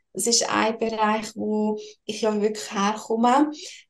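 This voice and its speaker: Her pitch is fairly high. The woman speaks at a very slow pace. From Switzerland, Lucerne. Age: 20s. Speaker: financial and tax consultant. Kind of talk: interview.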